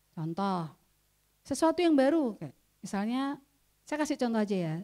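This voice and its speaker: A woman speaks loudly at a moderate pace, with a dark, mellow tone. Her pitch swings very widely, and she leaves long, frequent pauses. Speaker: trainer. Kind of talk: training workshop.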